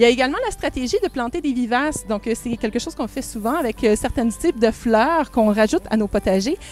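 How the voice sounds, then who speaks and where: A high-pitched woman's voice, very fast and lively in intonation, with hardly any pauses and noticeable background noise. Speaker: ecovillage resident giving a tour. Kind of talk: guided tour explanation. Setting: outdoors in a garden. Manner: hesitant, many fillers.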